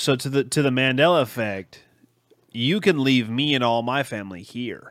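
The man has an ordinary speaking voice at medium pitch. He talks at a moderate pace with ordinary pitch variation. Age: 30s. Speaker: podcast host. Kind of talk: casual chat.

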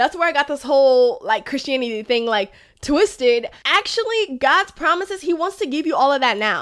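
This woman's voice is high in pitch and animated in tone, swinging very widely in pitch at a fairly quick pace. The recording is very clean, with a silent background. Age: 20s. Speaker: podcast host. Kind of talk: casual faith-based monologue.

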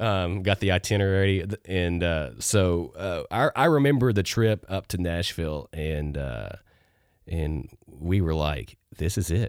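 A man's very deep, low voice in a Texan accent, fairly slow with lively intonation, on a very clean recording with a silent background. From Texas. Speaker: co-host, church ministry. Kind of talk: casual chat.

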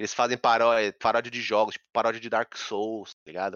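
Speaking at a moderate pace, a man has an ordinary speaking voice and a fairly low pitch. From São Paulo, Brazil. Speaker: game streamer. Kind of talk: casual chat.

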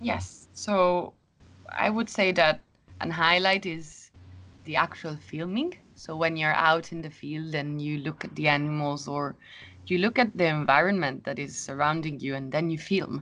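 Against a quiet background, a woman with a very deep, low pitch and a bright, sharp tone speaks at a fairly slow pace with ordinary pitch variation. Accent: Italian. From Italy (Rome). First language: Italian. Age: 20s. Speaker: biologist and filmmaker. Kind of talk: interview. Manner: halting.

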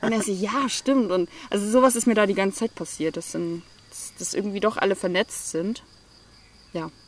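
A woman speaks at a moderate pace with long, frequent pauses, her pitch medium and its variation ordinary. Noticeable background noise runs under her voice. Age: 20s. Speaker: entrepreneur and digital nomad. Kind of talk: interview.

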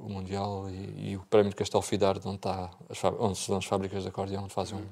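A man's fairly low, dark, mellow voice at a very fast pace, on a very clean recording with a silent background. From Portugal, Algarve (Bordeira). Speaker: accordionist. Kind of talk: interview.

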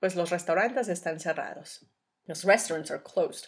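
At a moderate pace, a woman speaks in an ordinary speaking voice, fairly low in pitch with ordinary pitch variation. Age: 30s. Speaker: language teacher podcaster. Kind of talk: bilingual language-learning monologue.

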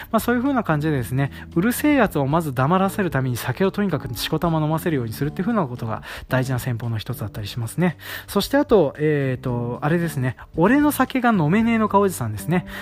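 A man's fairly high voice swings very widely in pitch as he races along at a very fast pace. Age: 30s. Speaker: rice farmer and podcast host. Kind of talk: casual solo talk.

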